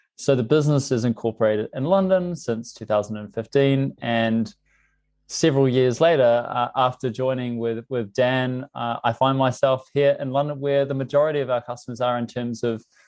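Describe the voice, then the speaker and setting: A man's medium-pitched voice with a New Zealand accent, fairly even intonation and a moderate pace. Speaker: tech company CEO. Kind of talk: podcast interview.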